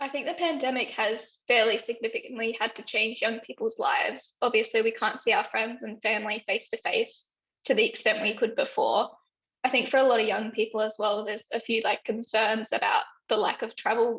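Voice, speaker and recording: Speaking at a fairly quick pace, a woman has an Australian accent. Her pitch is fairly high, with ordinary variation. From Western Australia, Broome. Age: 20s. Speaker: health consumer advocate. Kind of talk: interview testimony. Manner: hesitant with fillers.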